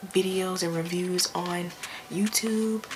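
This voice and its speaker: Against noticeable background noise, a woman talks at a medium pitch in a monotone, flat intonation. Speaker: beauty vlogger. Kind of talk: product review.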